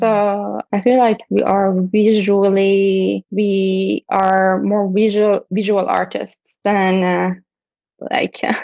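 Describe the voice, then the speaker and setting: Monotone, flat intonation comes from a woman at medium pitch with a Persian accent. She speaks at a very slow pace. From Iran. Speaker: puppeteer and animator. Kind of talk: interview answer.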